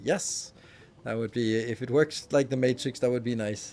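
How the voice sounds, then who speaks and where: At a fairly quick pace, a man talks with a Danish accent. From Denmark. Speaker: game streamer. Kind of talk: casual chat. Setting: live stream.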